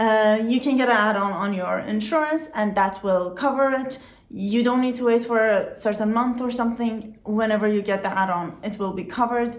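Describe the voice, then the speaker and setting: With a non-native accent, a woman speaks at a fairly high pitch and moderate pace with ordinary pitch variation and hardly any pauses, in audible room echo. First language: not English. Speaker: vlogger. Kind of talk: informational vlog.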